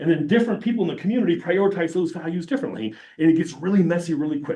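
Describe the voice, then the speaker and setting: Audible room echo surrounds a man talking very fast in a high pitch with a dark, mellow tone. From Argentina. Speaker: professor. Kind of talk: lecture.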